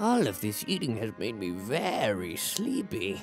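Over clear music in the background, a man puts on a character voice. He keeps a medium pitch and a moderate pace.

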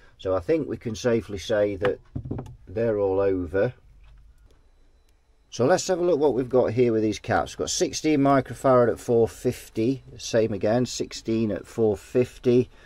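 A man speaks with a dark, mellow tone in a dry sound with no echo. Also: ordinary pitch variation, moderate pace. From Britain. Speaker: guitar amp repair technician. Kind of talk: repair tutorial. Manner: casual, thinking aloud. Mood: relaxed, lightly humorous. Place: workshop.

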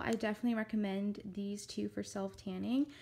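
A woman talks at a moderate pace in a dark, mellow tone. Her intonation is monotone and flat. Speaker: lifestyle vlogger. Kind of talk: casual vlog chat. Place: home room. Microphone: phone near.

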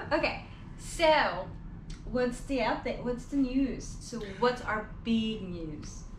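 A woman with a high pitch and lively intonation speaks at a very slow pace. Audible room echo and light background noise are present. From Philippines. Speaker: vlogger. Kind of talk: casual chat. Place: home room. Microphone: camera far.

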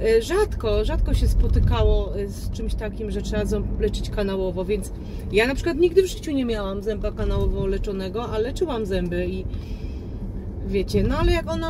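Noticeable background noise around a woman's moderate pace. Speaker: vlogger. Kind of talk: casual vlog chat. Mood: mildly annoyed, chatty. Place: car. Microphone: phone near.

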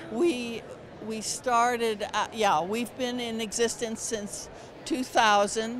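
There is noticeable background noise behind a dry sound with no echo. A woman speaks at a very slow pace. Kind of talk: interview answer. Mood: warm, enthusiastic. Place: hall. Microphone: handheld.

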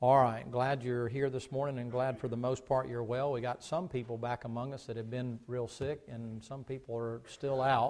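A man speaks at a moderate pace in a monotone with flat intonation. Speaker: pastor. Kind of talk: sermon. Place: church.

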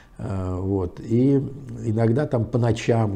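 Fairly low in pitch and somewhat breathy, this man's voice has a dark, mellow tone. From Pskov region, Russia; Russia. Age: 70s. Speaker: public speaker, author, former officer; public speaker. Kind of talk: interview, storytelling. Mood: relaxed, at times smiling. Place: home room. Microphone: lapel.

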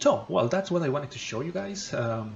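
A man speaks with ordinary pitch variation against light background noise. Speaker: tech channel host. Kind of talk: tutorial. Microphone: phone near.

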